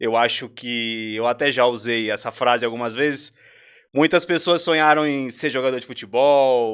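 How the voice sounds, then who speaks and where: A man with a normal speaking voice, medium in pitch, at a moderate pace with ordinary pitch variation, on a very clean recording with a silent background. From São Paulo, East Zone (Itaquera), Brazil. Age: 20s. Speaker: entrepreneur and chef. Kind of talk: podcast interview.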